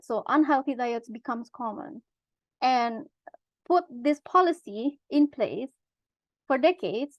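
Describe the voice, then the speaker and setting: Speaking at a fairly slow pace with long, frequent pauses, a woman uses a high pitch with ordinary pitch variation. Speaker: webinar presenter. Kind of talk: presentation. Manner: halting.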